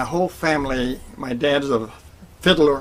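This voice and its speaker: A man speaks with fairly even intonation and a fairly high pitch. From northern Maine, US (Fort Kent, French-speaking area). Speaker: harmonica player. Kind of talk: personal storytelling. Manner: halting.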